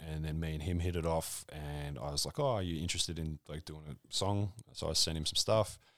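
Speaking at a fairly quick pace, a man has a very deep, low voice with an Australian accent. His pitch varies in an ordinary way, and the recording is very clean with a silent background. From rural Victoria, Australia (South Gippsland). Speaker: comedian and hip hop artist. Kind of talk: casual chat.

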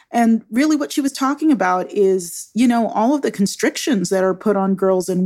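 A normal speaking voice from a woman, medium-pitched, moderate in pace, with lively intonation. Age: 50s. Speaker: podcast host. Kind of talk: interview.

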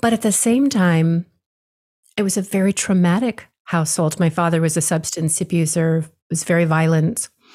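A woman speaks at a moderate pace in a fairly low, dark, mellow, somewhat breathy voice with ordinary pitch variation. Her loudness stays very even in a very clean recording with a silent background. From Hawaii. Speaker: spiritual teacher. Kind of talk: interview conversation.

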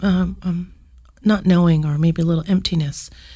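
A woman's medium-pitched, dark, mellow voice, somewhat breathy, monotone and flat, at a fairly slow pace. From Canada, southwest Yukon (First Nation community). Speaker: musician. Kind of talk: interview. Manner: casual, many fillers.

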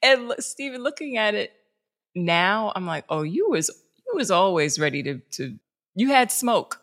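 In a New York accent, a woman with a fairly high pitch talks at a moderate pace, her voice making very wide pitch swings. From New York City, South Bronx. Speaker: journalist and producer. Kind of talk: casual interview.

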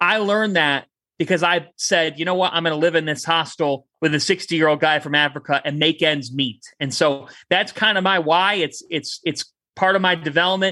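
A man with a Cleveland accent speaks at a moderate pace in a high pitch. His tone is bright and sharp, passionate and energetic. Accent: Cleveland, Ohio. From Westlake, Ohio (Cleveland). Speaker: sports broadcaster and sideline reporter. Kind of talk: interview, passionate sports talk. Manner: passionate, energetic, animated.

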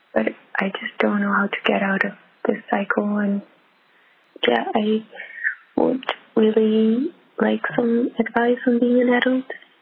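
Against noticeable background noise, a woman with a fairly high pitch speaks with long, frequent pauses. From Netherlands. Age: 20s. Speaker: caller. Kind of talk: voicemail question. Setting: phone call. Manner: halting.

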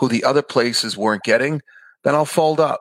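Speaking fairly quickly with a New York accent, a man shows ordinary pitch variation on a very clean recording with a silent background and a dry, close sound with no echo. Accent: New York American. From Queens, New York. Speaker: rabbi, podcast host. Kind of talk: casual interview chat.

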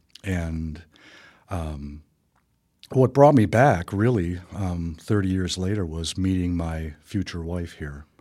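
In a very clean recording with a silent background, a man with an Upper Midwest accent speaks very slowly in a very deep, low, dark and mellow voice, with ordinary pitch variation and big swings in loudness. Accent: Upper Midwest American. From Wisconsin, Milwaukee and Wausau. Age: 60s. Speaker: painter and museum founder. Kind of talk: radio interview. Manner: hesitant, many fillers.

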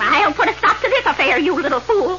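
A woman uses a put-on character voice with extremely high pitch and a bright, sharp tone. Her big pitch swings come at a fairly quick pace over faint background noise.

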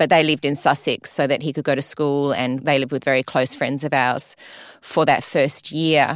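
The speaker has an Australian accent and a monotone, flat intonation. The sound is dry and close with no echo, on a very clean recording with a silent background. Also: woman, very deep, low pitch for a woman, moderate pace. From Sydney, Australia. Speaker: retired ballerina, ballet school director. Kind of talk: interview.

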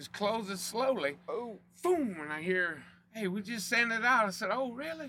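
A man with a Louisiana accent, high in pitch, raised and projected, with lively intonation at a moderate pace. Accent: Cajun Louisiana. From South Louisiana (Cajun). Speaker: oilfield company representative. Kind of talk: casual chat.

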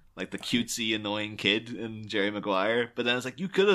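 In a very clean recording with a silent background, a man talks fairly quickly at a medium pitch with a bright, sharp tone. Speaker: podcast co-host guest. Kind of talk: casual chat.

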